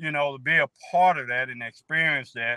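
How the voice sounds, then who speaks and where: Speaking at a moderate pace, a man has a fairly high pitch, fairly even intonation and a relaxed tone. The sound is dry with no echo, over a quiet background. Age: 60s. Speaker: newly found relative of the guest; guest. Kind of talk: interview testimony. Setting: video call. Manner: relaxed, repetitive with fillers. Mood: warm, heartfelt. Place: car. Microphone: video call.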